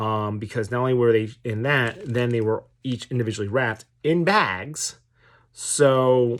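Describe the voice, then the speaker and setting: A man with an American accent, a medium pitch and ordinary pitch variation. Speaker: tabletop wargaming YouTuber. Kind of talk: casual product review. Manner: hesitant, many fillers.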